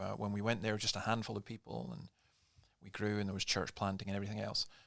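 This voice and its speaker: A man with a Scottish accent speaks in a fairly low pitch with a bright, sharp tone. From Scotland. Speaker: pastor. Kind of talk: casual chat. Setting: studio.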